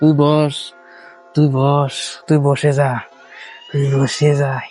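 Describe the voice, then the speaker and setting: In a put-on character voice pitched fairly high, a man cackles and speaks at a fairly slow pace as faint music plays in the background. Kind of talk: horror comedy overacting. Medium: cartoon. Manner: greedy, gloating, cackling.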